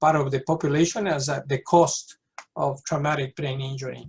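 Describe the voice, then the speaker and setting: Speaking with a South American accent, a man uses a fairly high, somewhat breathy voice at a moderate pace. His intonation is fairly even, and the sound is dry and close with no echo. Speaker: pediatric neurologist. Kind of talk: lecture.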